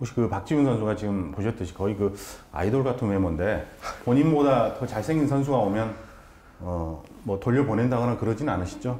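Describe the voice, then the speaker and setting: Audible room echo accompanies a medium-pitched man who speaks in an animated tone at a fairly quick pace with lively intonation. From South Korea. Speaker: talk show host. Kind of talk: interview talk show. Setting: baseball center, recorded on location. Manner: animated, talkative. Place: studio. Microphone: lapel.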